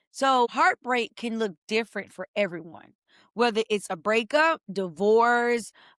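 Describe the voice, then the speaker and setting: A woman speaks in an upbeat, energetic tone with ordinary pitch variation, captured in a very clean recording with a silent background and a dry, close sound with no echo. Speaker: life coach. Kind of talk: motivational talk.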